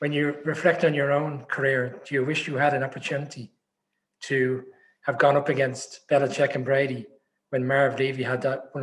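Somewhat breathy and at a moderate pace, this voice carries a strong Irish accent. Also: man. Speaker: podcast co-host. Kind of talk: interview.

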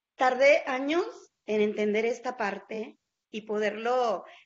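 A woman with an unremarkable speaking voice talks in a fairly high pitch with fairly even intonation. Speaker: journalist. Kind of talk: interview.

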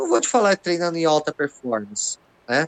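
A man speaks in a fairly high pitch with lively intonation and an unremarkable speaking voice. The sound is dry and close, with no echo. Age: 50s. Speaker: jiu-jitsu master. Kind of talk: casual chat.

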